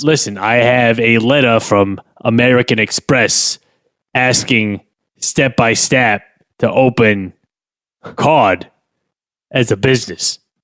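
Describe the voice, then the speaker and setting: Using a put-on character voice, a man speaks at a medium pitch and fairly slow pace, with fairly even intonation, very even loudness and long, frequent pauses. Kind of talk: improv comedy character. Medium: comedy sketch. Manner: blustering, hesitant, full of uh fillers.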